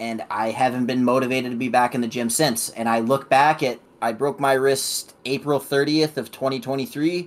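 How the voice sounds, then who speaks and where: Speaking at a moderate pace with hardly any pauses, a man keeps his intonation fairly even. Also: medium pitch for a man. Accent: Midwestern US. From Illinois. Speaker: podcast co-host. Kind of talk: casual chat.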